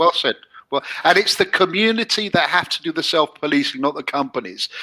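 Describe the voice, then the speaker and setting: The talking is fairly quick. It comes with an English accent. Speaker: show host promoting sponsor app. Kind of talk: casual chat. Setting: live stream show.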